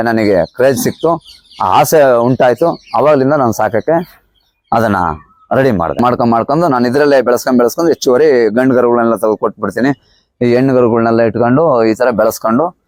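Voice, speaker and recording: A man with medium pitch and an unremarkable speaking voice talks at a very even loudness, his pitch varying in an ordinary way. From Karnataka, Hassan district. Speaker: cattle farmer. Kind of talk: interview.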